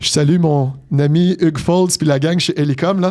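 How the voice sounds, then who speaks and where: A man speaks with a high pitch. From Quebec, Montreal. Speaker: business executive. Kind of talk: interview. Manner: articulate.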